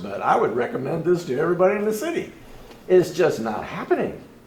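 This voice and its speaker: A man talks at a very fast pace in a fairly high pitch. Audible room echo and noticeable background noise accompany him. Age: 70s. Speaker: audience member. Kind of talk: public Q&A comment.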